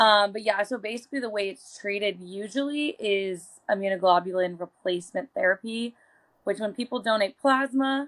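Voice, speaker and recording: A woman with an unremarkable speaking voice talks at a moderate pace in a medium pitch, with ordinary pitch variation. The recording is very clean and dry, close with no echo, over a silent background. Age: 20s. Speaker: chronic illness advocate. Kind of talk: interview.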